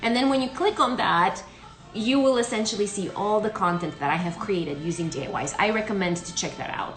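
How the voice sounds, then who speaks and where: With music in the background and audible room echo, the speaker talks at a fairly quick pace with lively intonation. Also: woman, medium pitch for a woman. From Romania. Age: 30s. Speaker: beauty and skin care content creator. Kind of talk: live Q&A. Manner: mumbling; hesitant, many fillers.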